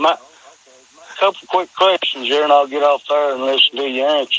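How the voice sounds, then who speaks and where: With an Appalachian accent, a man talks at a moderate pace and a fairly high pitch, the sound dry and close with no echo, over noticeable background noise. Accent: Appalachian hillbilly. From Kentucky, US South. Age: 50s. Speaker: caller. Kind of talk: phone-in question. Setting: phone call. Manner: halting, stammering.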